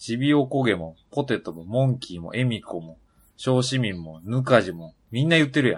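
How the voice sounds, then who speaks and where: This man has a plain, everyday voice at a medium pitch. He speaks at a moderate pace, with big swings in loudness. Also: lively intonation. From Yamaguchi, Japan. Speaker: podcast co-host. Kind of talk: casual chat.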